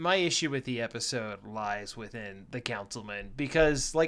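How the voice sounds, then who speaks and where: On a very clean recording with a silent background, a man speaks in an ordinary speaking voice at a medium pitch and a moderate pace, with ordinary pitch variation. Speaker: podcast co-host. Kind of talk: casual comedic banter.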